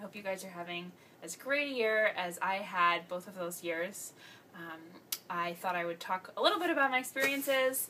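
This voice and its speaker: A woman speaks in a plain, everyday voice at medium pitch. Her intonation is lively, and her loudness swings widely. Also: moderate pace. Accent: American. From Washington, D.C. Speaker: program alum. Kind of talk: video testimonial.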